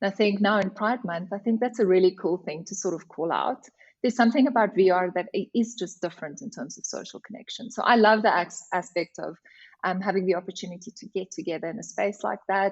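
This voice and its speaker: A woman with an Afrikaans accent talks at a very fast pace, medium in pitch with ordinary pitch variation. Her voice is somewhat breathy, with big swings in loudness. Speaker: HR director. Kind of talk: podcast interview.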